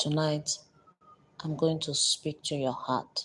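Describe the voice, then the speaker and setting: The delivery is monotone and flat. The pace is very slow. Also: woman. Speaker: live stream host, emotional motivational speaker. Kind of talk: motivational talk on live stream. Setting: live stream. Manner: blunt, confrontational.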